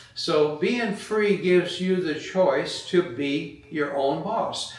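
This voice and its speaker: Speech comes at a very slow pace with ordinary pitch variation. Noticeable background noise and audible room echo are present. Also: man. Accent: American. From California. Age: 70s. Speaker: retired business owner. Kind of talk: motivational talk. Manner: halting, many fillers.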